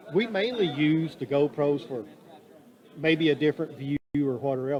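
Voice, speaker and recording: This man's pitch is fairly high, with ordinary variation. He keeps a moderate pace. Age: 60s. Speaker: fishing TV show host and producer. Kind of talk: casual interview chat. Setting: interview booth at a fishing expo. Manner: talkative.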